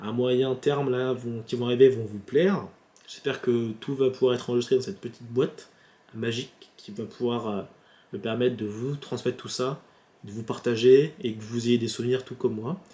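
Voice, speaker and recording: With a dark, mellow tone, a man speaks at a medium pitch and moderate pace, using ordinary pitch variation. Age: 20s. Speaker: YouTuber. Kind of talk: casual vlog. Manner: halting.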